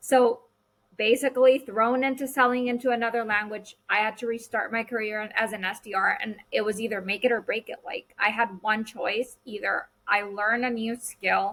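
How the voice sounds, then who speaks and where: A woman talks at a moderate pace in a Spanish accent. Her fairly high-pitched voice keeps a fairly even intonation. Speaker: podcast host. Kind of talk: casual chat.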